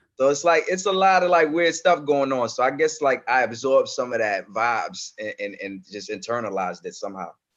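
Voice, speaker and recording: In a New York accent, a man talks at a fairly quick pace with hardly any pauses, a fairly high pitch and very wide pitch swings. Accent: New York accent learned from rap. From Comoros, raised in France. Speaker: rapper. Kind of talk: interview. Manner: halting, many repeated words.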